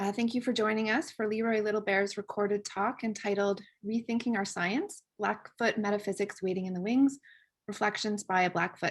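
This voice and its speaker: Here is a normal speaking voice from a woman, pitched fairly high. She talks at a fairly quick pace with fairly even intonation. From Canada. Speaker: webinar moderator. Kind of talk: formal webinar introduction. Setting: video call. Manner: formal.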